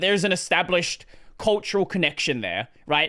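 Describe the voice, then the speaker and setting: A man with an Australian accent speaks in a raised, projected voice at a moderate pace, high-pitched with a bright, sharp tone. The recording is very clean, with a silent background. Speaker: gaming streamer. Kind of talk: casual chat. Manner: halting.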